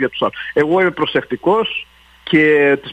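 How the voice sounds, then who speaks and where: His pitch moves in an ordinary way. The voice is a man's. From Montreal, Park Extension. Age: 50s. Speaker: city councillor. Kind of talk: radio interview. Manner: halting.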